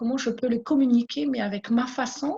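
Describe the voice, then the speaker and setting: A woman with a Malagasy accent speaks at a fairly high pitch with a dark, mellow tone and ordinary pitch variation. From Madagascar. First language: Malagasy (speaking French). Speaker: small business owner. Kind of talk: interview testimony. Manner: halting, many repetitions.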